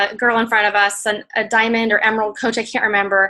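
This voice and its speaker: Speaking at a fairly quick pace, a woman has a fairly high pitch and a bright, sharp tone. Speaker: network marketing coach. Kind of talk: training talk. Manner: fast; casual, filler-heavy.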